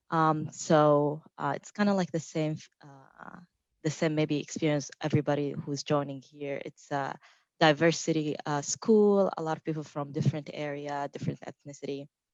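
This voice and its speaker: A woman's very deep, low voice in a Saudi accent, at a moderate pace, with big swings in loudness, fairly even intonation, and a dry, close sound with no echo. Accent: Saudi Arabian. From Saudi Arabia. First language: Arabic. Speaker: technical marketing engineer. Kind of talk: panel self-introduction.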